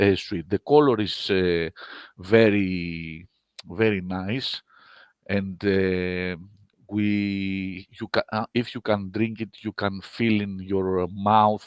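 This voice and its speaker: A man with a Greek accent, fairly low in pitch, speaking at a very slow pace with fairly even intonation, in a dry, close sound with no echo. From Greece. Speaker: winemaker. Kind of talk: online wine seminar presentation. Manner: halting.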